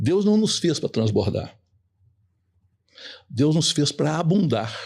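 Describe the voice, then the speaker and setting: At a very slow pace, a man speaks with fairly high pitch, very wide pitch swings and very even loudness. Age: 70s. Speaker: sales trainer. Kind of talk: podcast interview.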